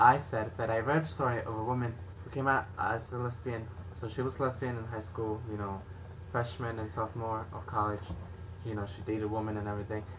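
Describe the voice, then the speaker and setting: A man's medium-pitched voice at a fairly quick pace, fairly even in intonation, with audible room echo. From Mexican background. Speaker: video blogger. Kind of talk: casual chat. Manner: loud.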